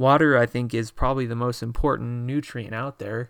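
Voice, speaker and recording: This man has a normal speaking voice, medium in pitch, with fairly even intonation. He talks at a fairly quick pace on a very clean recording with a silent background. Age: 20s. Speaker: fitness podcast host. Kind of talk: solo podcast monologue. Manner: casual with many filler words.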